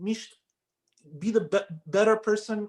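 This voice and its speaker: A man speaks at a fairly slow pace. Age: young. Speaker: article writer. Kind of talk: interview answer.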